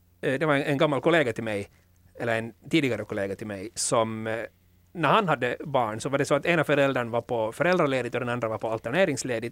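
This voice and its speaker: Fairly quick speech from a man, dry and close-sounding with no echo. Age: 30s. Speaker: podcast host. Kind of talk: casual chat.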